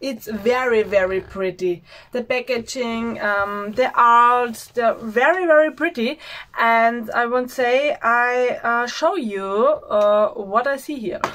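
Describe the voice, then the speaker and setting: Speaking very slowly with an Austrian accent, a woman uses a high pitch and ordinary pitch variation, on a very clean recording with a silent background. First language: German. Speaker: beauty vlogger. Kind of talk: product unboxing. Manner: halting, many filler sounds; enthusiastic.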